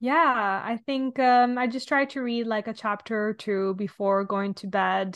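A woman speaks with an Italian accent. Her pitch varies in an ordinary way. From Italy. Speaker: podcast host. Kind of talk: casual chat.

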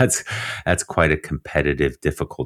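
A man speaks with vocal fry, recorded dry and close with no echo. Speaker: endurance coach and former swimmer. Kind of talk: interview conversation. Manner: calm, soothing.

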